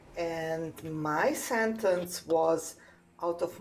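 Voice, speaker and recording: A woman speaks with a non-native accent, her voice fairly low in pitch with ordinary pitch variation. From Serbia. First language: Serbian. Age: 50s. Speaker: caller. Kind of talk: debate. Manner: halting.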